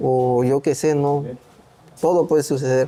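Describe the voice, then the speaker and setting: The speaker talks at a fairly slow pace in a Mexican accent. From Oaxaca, Mexico. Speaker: migrant worker. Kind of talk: interview answer.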